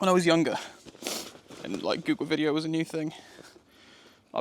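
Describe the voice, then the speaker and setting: Against noticeable background noise, a man with a British accent talks at a fairly high pitch with fairly even intonation. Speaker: wild camping vlogger. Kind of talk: outdoor vlog monologue. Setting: outdoors in woodland. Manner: quieter, hushed.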